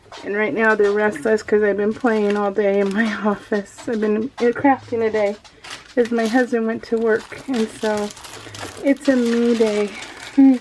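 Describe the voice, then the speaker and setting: Over noticeable background noise, a woman talks at a fairly slow pace in a fairly high pitch, her intonation monotone and flat. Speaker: craft video creator. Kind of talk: unboxing video. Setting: home office. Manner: halting.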